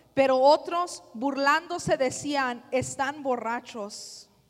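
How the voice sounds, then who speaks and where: A very slow pace with ordinary pitch variation. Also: woman. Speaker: sermon interpreter. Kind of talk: consecutive interpreting of a sermon, echoing the preacher line by line. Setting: church.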